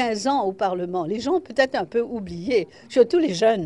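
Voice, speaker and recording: A woman speaks at a fairly slow pace with a dark, mellow tone. Her fairly high voice swings very widely in pitch. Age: 70s. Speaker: parliamentary speaker and lawyer. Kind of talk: news interview.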